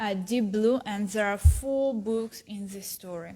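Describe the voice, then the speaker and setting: At a very slow pace, a woman talks. She speaks in a Russian accent. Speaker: philology student. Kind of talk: book recommendation talk. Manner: halting, many fillers.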